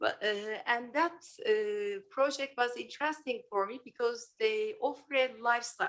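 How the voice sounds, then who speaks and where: At a moderate pace, a woman with a high pitch and ordinary pitch variation speaks with a non-native accent. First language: not English. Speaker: public hearing speaker, architect. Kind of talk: public comment. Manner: halting.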